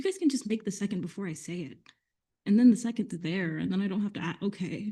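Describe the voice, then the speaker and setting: A woman with an American accent, somewhat breathy, with a dark, mellow tone and a very fast pace. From West Virginia. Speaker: meeting chair. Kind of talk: parliamentary procedure.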